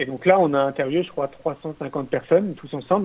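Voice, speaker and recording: A man speaks fairly quickly in an ordinary speaking voice. His pitch is fairly high, with ordinary pitch variation. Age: 40s. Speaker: entrepreneur and filmmaker. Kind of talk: interview.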